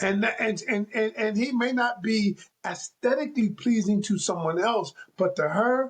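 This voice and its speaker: A man with a high-pitched voice speaks at a fairly slow pace, his pitch varying in an ordinary way and his loudness very even. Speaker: relationship coach. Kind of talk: casual chat. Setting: video call. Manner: animated.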